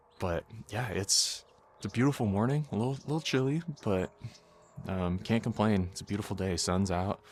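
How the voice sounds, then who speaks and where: A man's fairly low voice at a moderate pace, with lively intonation, long and frequent pauses, and a very clean recording over a silent background. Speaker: hobby photography YouTuber. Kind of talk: casual vlog narration. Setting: outdoors in backyard. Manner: relaxed, filler-heavy.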